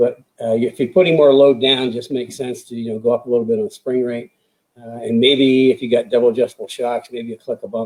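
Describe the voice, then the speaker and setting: The speech runs at a very fast pace with ordinary pitch variation. Loudness swings widely throughout. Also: man, medium pitch for a man. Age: 70s. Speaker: race driver and performance car coach. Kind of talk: live Q&A chat. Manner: hesitant, many fillers.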